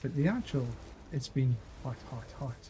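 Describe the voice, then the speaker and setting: In a relaxed tone, a man with a Scottish accent speaks at a fairly high pitch, his voice dark, mellow and somewhat breathy. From Scotland. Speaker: gaming streamer. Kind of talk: casual gameplay commentary. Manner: halting, repeats words.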